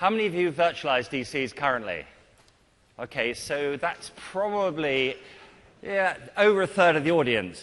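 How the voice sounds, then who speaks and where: Swinging very widely in pitch, a man with a British accent talks in a fairly high voice. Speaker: IT consultant and conference speaker. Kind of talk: technical conference talk. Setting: stage with audience.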